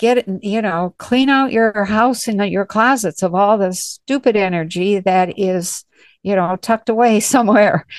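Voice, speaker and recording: In a plain, everyday voice, a woman talks at a fairly slow pace with ordinary pitch variation. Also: medium pitch for a woman, dry, close sound with no echo, quiet background. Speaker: psychic reader hosting call-in session. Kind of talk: live call-in readings. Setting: video call. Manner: frequent laughter.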